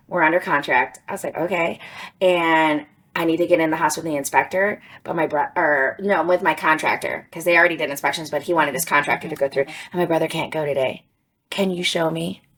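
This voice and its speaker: Speech comes at a very fast pace while the intonation stays fairly even. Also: woman, fairly low pitch for a woman. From Georgia. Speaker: real estate agent. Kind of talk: casual chat.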